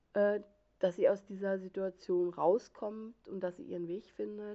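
Her medium-pitched voice moves at a very slow pace as this woman talks. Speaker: book blogger. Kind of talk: book review monologue. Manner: halting, stumbles over words; animated.

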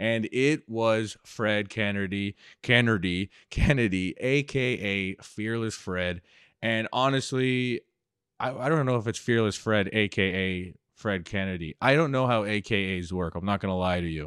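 A man with a plain, everyday voice speaks at a fairly low pitch with ordinary pitch variation, recorded very cleanly against a silent background with a dry, close sound and no echo. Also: fairly slow pace. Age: 30s. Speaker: podcast host and former stand-up comedian. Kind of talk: casual chat.

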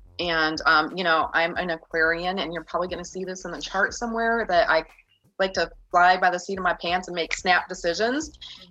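A woman with a fairly low pitch talks at a fairly quick pace in an ordinary speaking voice. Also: fairly even intonation. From Michigan, US Midwest. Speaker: metaphysics shop owner. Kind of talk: casual chat.

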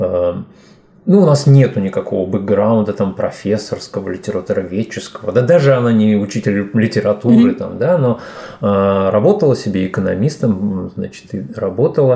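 A man's fairly low voice with lively intonation at a moderate pace, over noticeable background noise. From Uzbekistan, Fergana. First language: Tajik, now native Russian (speaking Russian). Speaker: poet and DJ. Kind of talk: podcast interview. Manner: hesitant, filler-heavy.

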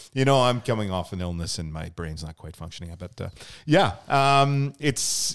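In a very clean recording with a silent background, a man with a Canadian accent speaks at a moderate pace with very wide pitch swings. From Canada, Lower Mainland BC. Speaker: youth soccer club podcast host. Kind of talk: casual chat. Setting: studio. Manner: animated.

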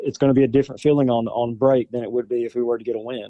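A man speaks with a Southern US accent. His pitch sits in the middle range. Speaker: high school football player. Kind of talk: interview. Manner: halting.

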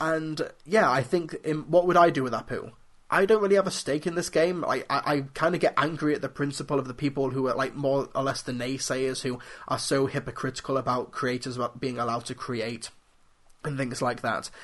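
A man with a British accent speaks at a fairly quick pace. His pitch is fairly high, with ordinary variation. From UK. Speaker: film critic podcast host. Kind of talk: solo podcast commentary.

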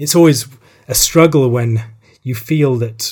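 A man speaks with a somewhat breathy voice. His pace is fairly slow. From Republic of Ireland. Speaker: theologian. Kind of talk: interview.

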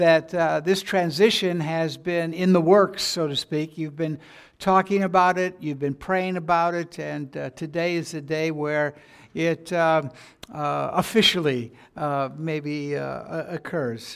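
Speaking with an American accent at a fairly slow pace, the voice keeps a fairly even intonation on a very clean recording with a silent background. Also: man, fairly high pitch for a man. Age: 60s. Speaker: pastor. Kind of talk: sermon. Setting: church. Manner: halting.

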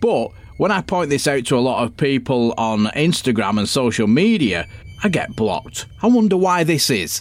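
This man speaks at a moderate pace with a Manchester accent, his medium pitch swinging very widely. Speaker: podcast host and ghost hunter. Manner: exasperated, swearing and mocking, with sarcastic put-on voices.

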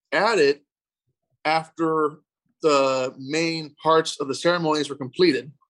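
A man speaks slowly in an ordinary speaking voice at a fairly high pitch. His pace is fairly slow and his intonation fairly even. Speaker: youth literacy center owner. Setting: video call.

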